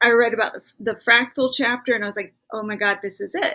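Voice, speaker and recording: Bright and sharp in tone, a woman with an American accent speaks at a moderate pace with a fairly high pitch and ordinary pitch variation. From Alabama, US South. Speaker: writer and poet. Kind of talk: interview conversation.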